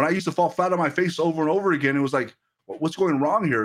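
A man talks at a very fast pace with a high pitch. His pitch shifts by an ordinary amount. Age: 30s. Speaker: pastor. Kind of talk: sermon. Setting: livestream. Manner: halting, frequent repetitions.

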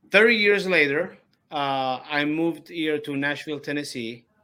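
A man speaks with an Italian accent at a fairly high pitch. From Sicily, Italy. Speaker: opera singer. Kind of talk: interview. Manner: halting.

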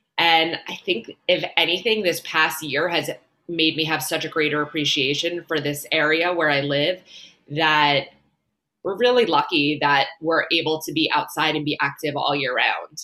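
Speaking in an American accent at a moderate pace, a woman has a very deep, low pitch, a bright, sharp tone and fairly even intonation. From New York, Long Island. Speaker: entrepreneur. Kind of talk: interview.

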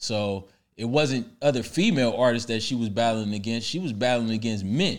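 Recorded very cleanly against a silent background, a man speaks at medium pitch and a moderate pace with ordinary pitch variation. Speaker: hip-hop discussion guest. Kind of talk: casual chat.

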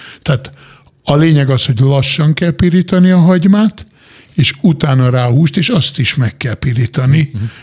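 A fairly high-pitched man, somewhat breathy, at a moderate pace with lively intonation. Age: 50s. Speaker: chef. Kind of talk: casual chat. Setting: studio.

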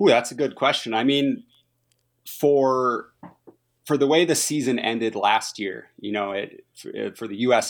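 Heard on a very clean recording with a silent background, a man with a normal speaking voice talks at a moderate pace with ordinary pitch variation. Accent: American. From Minnesota, US Midwest. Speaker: professional biathlete and soldier athlete. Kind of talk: interview.

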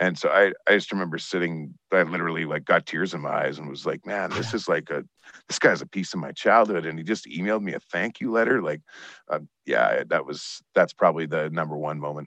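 A man with a Canadian Prairie accent speaks in a very deep, low pitch with a bright, sharp tone. He talks at a fairly quick pace with ordinary pitch variation. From Saskatchewan, Canada. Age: 30s. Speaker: baseball writer, team executive and country singer. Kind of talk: casual chat.

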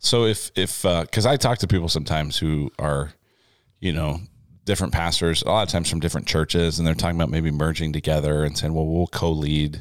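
A man speaks with a very deep, low pitch and ordinary pitch variation at a fairly quick pace. His loudness stays very even on a very clean recording with a silent background. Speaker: pastor and podcast host. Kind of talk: casual chat.

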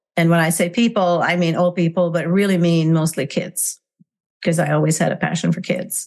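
A woman speaks at a fairly quick pace with a fairly low pitch. Her intonation is monotone and flat, and her loudness stays very even. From Hungary. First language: Hungarian. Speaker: parenting coach. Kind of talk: interview. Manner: halting, many fillers.

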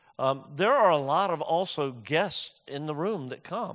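In a very clean recording with a silent background, a man talks at a moderate pace with ordinary pitch variation. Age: 60s. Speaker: pastor. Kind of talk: sermon. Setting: church.

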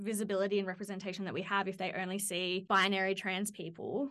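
Over a quiet background, a woman talks in an Australian accent. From Australia, Central Coast of New South Wales. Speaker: PhD candidate. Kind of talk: interview.

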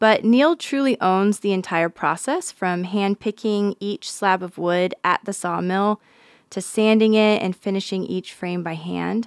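A woman with an ordinary speaking voice talks at a fairly slow pace with hardly any pauses, medium pitch and fairly even intonation, in a dry, close sound with no echo on a very clean recording with a silent background. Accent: American. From Nevada. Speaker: podcast host. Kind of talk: casual interview. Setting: studio.

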